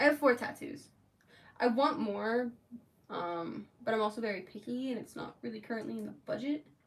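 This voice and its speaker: Using an unremarkable speaking voice, a woman with an American accent talks at a moderate pace in a fairly high pitch, with ordinary pitch variation and big swings in loudness. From Florida. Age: 20s. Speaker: makeup artist streamer. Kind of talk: casual chat. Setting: livestream. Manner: chatty, filler-heavy.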